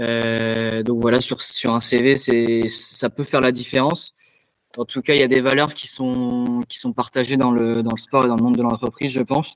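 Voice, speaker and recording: A man at a medium pitch and a moderate pace, with monotone, flat intonation and a dry, close sound with no echo. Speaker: student athlete, tennis player. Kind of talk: interview. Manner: halting, many repetitions and fillers.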